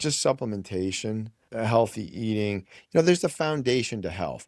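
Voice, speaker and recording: A man speaks in a plain, everyday voice at a medium pitch. His intonation is lively and his pace fairly quick, on a very clean recording with a silent background. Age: 60s. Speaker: physician. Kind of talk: interview.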